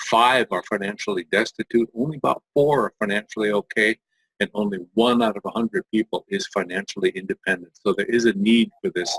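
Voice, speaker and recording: A man's medium-pitched, plain, everyday voice, fairly quick, with ordinary pitch variation and a dry, close sound with no echo. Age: 60s. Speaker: multi-level marketing distributor. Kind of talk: sales pitch.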